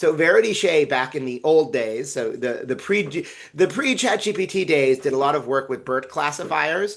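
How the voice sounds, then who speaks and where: Against a quiet background, a man with a fairly high pitch speaks with lively intonation. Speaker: physician and AI researcher. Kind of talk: webinar lecture. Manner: fast.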